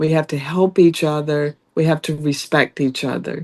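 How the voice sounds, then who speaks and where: Fairly low female voice with a slight Southern US accent, at a fairly slow pace. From US South. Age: 60s. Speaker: judicial candidate, lawyer. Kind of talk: interview.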